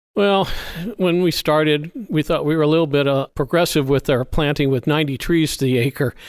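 In a very clean recording with a silent background and a dry, close sound with no echo, a man with an American accent uses an ordinary speaking voice at a fairly high pitch, moving at a moderate pace with fairly even intonation and very even loudness. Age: 60s. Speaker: almond grower. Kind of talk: casual interview conversation.

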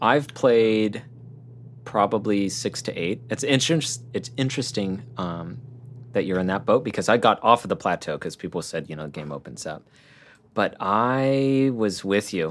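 A man's plain, everyday voice, fairly low in pitch, with lively intonation at a moderate pace. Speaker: gaming podcast co-host. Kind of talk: casual chat.

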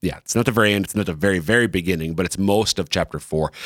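A man speaks with fairly low pitch. His pitch varies in an ordinary way. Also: very clean recording, silent background. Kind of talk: casual discussion of scripture, podcast. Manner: fast talker.

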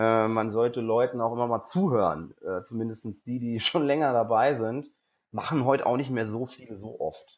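A man talks at a medium pitch and a moderate pace. His pitch varies in an ordinary way. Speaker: stand-up comedian and presenter. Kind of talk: interview. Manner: extroverted, lively.

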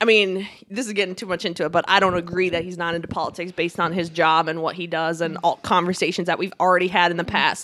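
A woman talks at a very fast pace. Her pitch sits in the middle range. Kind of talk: casual chat. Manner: laughs often, banters.

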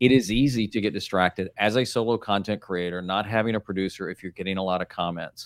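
In a very clean recording with a silent background and a dry, close sound with no echo, a man speaks at a very fast pace with fairly even intonation and hardly any pauses. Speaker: YouTuber and author. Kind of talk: casual chat. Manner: relaxed, natural.

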